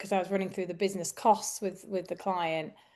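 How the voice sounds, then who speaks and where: A woman with a Yorkshire accent, medium pitch and ordinary pitch variation, against a quiet background. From northern England, Yorkshire. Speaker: recruitment business coach. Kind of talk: podcast conversation.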